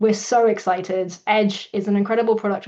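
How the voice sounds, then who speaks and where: The speaker has a British accent and a monotone, flat intonation. The pace is moderate. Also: woman. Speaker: company CEO hosting webinar. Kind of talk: webinar introduction. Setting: online webinar.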